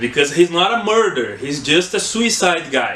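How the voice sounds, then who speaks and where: A man with a Brazilian Portuguese accent and lively intonation, against noticeable background noise. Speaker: book reviewer. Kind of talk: casual book review monologue. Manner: halting, many fillers and restarts.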